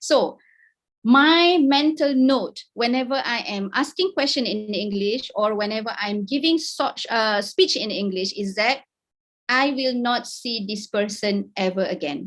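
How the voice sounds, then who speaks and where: In a Malaysian accent, the speaker talks at a fairly slow pace with lively intonation. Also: woman, fairly high pitch for a woman. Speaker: academic researcher, invited speaker. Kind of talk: webinar talk. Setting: video call.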